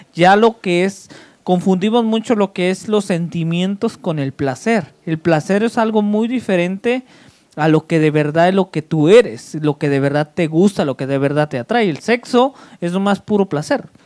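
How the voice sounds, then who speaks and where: Against a quiet background, a man talks in an animated tone at a moderate pace. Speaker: show host. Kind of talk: casual chat. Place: studio. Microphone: handheld.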